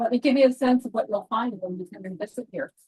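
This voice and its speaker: Ordinary pitch variation marks this woman's somewhat breathy speech. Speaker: volunteer master gardener. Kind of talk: public talk reading a prepared speech. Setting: outdoors in a garden with a small audience. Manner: halting.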